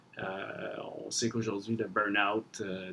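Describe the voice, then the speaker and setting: A man speaks with monotone, flat intonation. His pace is fairly slow. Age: 30s. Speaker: fitness trainer and gym owner. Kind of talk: podcast interview.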